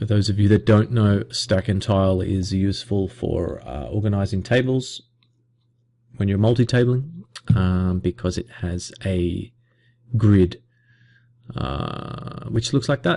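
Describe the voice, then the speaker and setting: A man with a fairly low pitch and a dark, mellow tone speaks at a fairly slow pace with lively intonation and long, frequent pauses. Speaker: online poker player. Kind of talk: screen-recorded tutorial commentary.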